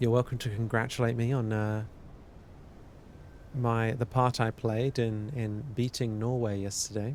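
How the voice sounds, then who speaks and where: The tone is calm, with monotone, flat intonation. The pace is fairly slow, with long, frequent pauses. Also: man, medium pitch for a man. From UK. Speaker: live streamer studying a textbook. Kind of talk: casual live-stream chat. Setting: live stream.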